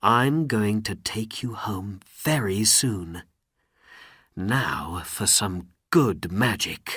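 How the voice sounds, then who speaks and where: A man puts on a character voice, fairly low in pitch, and talks very slowly. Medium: read story. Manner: earnest.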